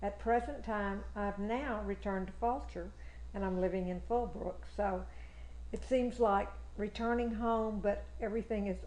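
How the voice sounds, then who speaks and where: A woman speaks with a Texan accent. Audible room echo fills the recording. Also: moderate pace. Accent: Texan Southern. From Texas, Fort Bend County. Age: 80s+. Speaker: local history interviewee. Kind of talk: oral history interview.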